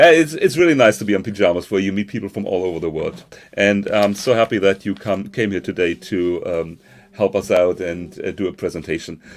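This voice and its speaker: A man with a German accent, fairly low in pitch, at a fairly quick pace with ordinary pitch variation. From northern Germany. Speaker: conference host. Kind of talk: live online conference hosting. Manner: halting, many fillers.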